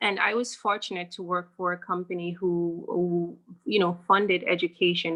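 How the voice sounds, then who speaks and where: The bright, sharp tone comes at a moderate pace with monotone, flat intonation. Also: woman. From Jamaica. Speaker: bank branch manager. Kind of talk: interview.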